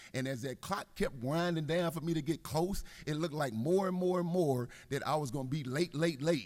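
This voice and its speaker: An animated man with an American accent talks fairly quickly at a fairly high pitch, with ordinary pitch variation. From Texas (Houston). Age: 60s. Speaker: guest speaker, ministry mentor. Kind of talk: inspirational address to legislators. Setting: legislative chamber floor. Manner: fast, enthusiastic.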